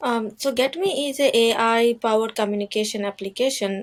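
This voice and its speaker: Noticeable background noise accompanies this woman's voice. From India. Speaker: IT support analyst. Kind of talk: interview. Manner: halting, with self-corrections.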